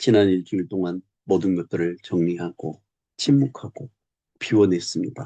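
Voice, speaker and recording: The voice has a dark, mellow tone and ordinary pitch variation, with a dry, close sound and no echo. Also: man, very deep, low pitch for a man. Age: 60s. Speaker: retired teacher and YouTuber. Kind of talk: personal reflective monologue. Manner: slow, reflective.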